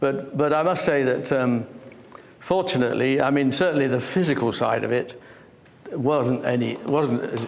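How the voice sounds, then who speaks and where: A man with an English accent at medium pitch, very even loudness, audible room echo and noticeable background noise. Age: 70s. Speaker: artist. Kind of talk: interview.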